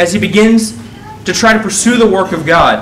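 A man with audible room echo and light background noise. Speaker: preacher. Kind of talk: sermon. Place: church. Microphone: lapel.

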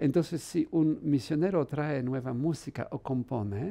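A man with a Polish accent and a dark, mellow tone talks at a very slow pace. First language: Polish (speaking Spanish). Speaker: priest and musicologist; priest. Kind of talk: interview. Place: studio. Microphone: headset.

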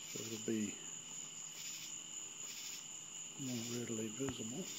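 Man speaking at a fairly slow pace amid noticeable background noise. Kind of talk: casual demonstration commentary. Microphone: phone near.

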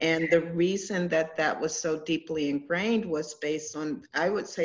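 Speaking at a fairly slow pace, a woman with an American accent has a very deep, low pitch. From Washington D.C. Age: 40s. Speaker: holistic healer. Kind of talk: casual chat. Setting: video call. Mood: earnest, reflective. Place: home room. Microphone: video call.

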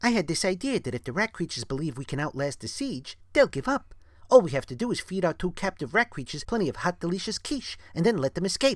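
At a very fast pace and a middle pitch, a put-on character voice rattles on with hardly any pauses. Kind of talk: read-aloud comic dub with character voices. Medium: read story.

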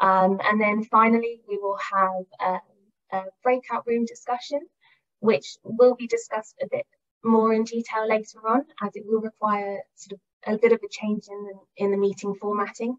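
Against a quiet background, a woman speaks at a moderate pace. Her intonation is fairly even. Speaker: conference host. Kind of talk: event introduction and agenda overview. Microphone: video call.

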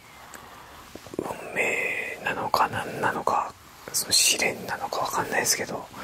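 Soft-spoken and whispering, a man talks over light background noise. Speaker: sports talk video host. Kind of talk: casual commentary on basketball history. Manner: soft whisper, moved, near tears. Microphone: lapel.

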